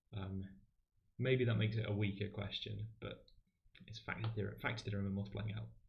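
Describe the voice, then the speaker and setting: A man's fairly low, monotone, flat voice at a very fast pace, broken by long, frequent pauses, with audible room echo. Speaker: maths livestream host and tutor. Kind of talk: livestream maths tutorial.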